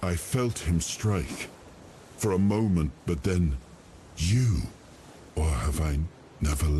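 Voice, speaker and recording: Someone in a put-on character voice talks at a fairly slow pace with long, frequent pauses over clear background noise. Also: man, very deep, low pitch for a man. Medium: video game. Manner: halting, brooding.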